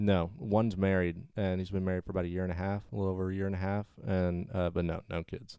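A man with a dark, mellow tone and a very deep, low pitch talks very fast in a monotone, flat intonation. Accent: Southern US. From US South. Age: 20s. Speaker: friend of the host. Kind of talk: casual chat.

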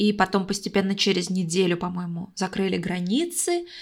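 At medium pitch and a moderate pace, a woman speaks with fairly even intonation in an unremarkable speaking voice, on a very clean recording with a silent background. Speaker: podcast co-host. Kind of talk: casual chat. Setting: call. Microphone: echo.

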